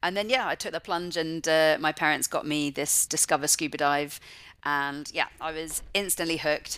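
A woman with a West Country accent speaks at a moderate pace in a very deep, low pitch, her tone bright and sharp and her intonation fairly even, on a very clean recording with a silent background. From England, Forest of Dean (Gloucestershire). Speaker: marine conservationist. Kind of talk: interview.

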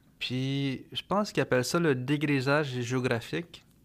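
A man's fairly slow delivery carries fairly even intonation. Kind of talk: podcast interview. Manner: halting, many fillers.

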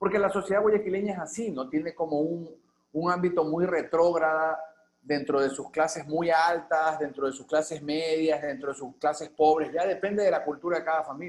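In an unremarkable speaking voice, a man talks at a moderate pace with fairly high pitch and fairly even intonation. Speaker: artist and filmmaker. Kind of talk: interview conversation. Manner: casual, slangy.

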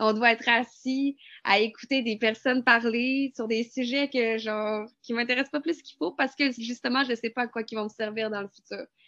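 With a Quebec accent and a high pitch, a woman speaks at a moderate pace with hardly any pauses, fairly even intonation and big swings in loudness, the sound dry and close with no echo over a quiet background. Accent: Québécois French. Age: 20s. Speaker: student. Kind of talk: testimony.

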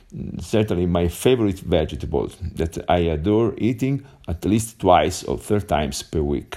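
Speaking at a moderate pace with an Italian accent, a man has a very deep, low voice with a dark, mellow tone, lively intonation and vocal fry. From Italy. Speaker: English learner. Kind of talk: voice message. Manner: halting.

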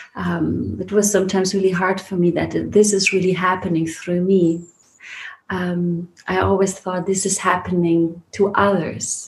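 A woman speaks at a medium pitch. Her intonation stays flat and monotone. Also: moderate pace. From Germany, Heidelberg area (early childhood in Iran). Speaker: spiritual teacher and retreat leader. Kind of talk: casual interview conversation. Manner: hesitant, many fillers.

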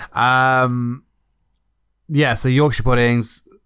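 A man speaks very slowly in an English accent with a medium pitch. The recording is very clean, with a silent background. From Britain. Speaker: podcast co-host. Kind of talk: casual chat.

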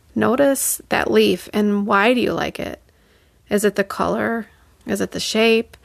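Recorded dry and close with no echo, a woman with a plain, everyday voice speaks fairly slowly at a fairly high pitch. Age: 40s. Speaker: artist and art teacher, podcast host. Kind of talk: solo podcast monologue.

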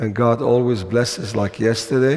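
A man speaks at a fairly slow pace and medium pitch with ordinary pitch variation. His slightly mellow tone carries vocal fry and a slightly husky edge.

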